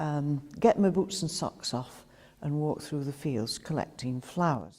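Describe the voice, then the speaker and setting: A woman with a Staffordshire accent speaks at a fairly slow pace in a very deep, low voice. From Rudyard, Staffordshire, England. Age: 80s+. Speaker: local resident recalling village life. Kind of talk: reminiscence.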